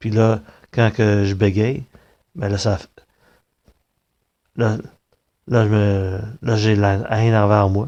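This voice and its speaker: In a Quebec accent, a man speaks very slowly at a fairly low pitch with fairly even intonation. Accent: Québécois French. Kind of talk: personal monologue. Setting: recorded on tablet. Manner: halting.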